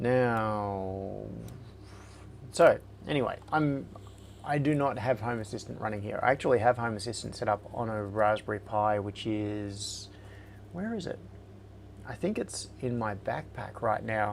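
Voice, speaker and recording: Speaking at a fairly slow pace with an Australian accent, a man with a fairly low voice leaves long, frequent pauses and shows ordinary pitch variation. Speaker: livestream host, maker. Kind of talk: casual live stream chat. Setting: live stream.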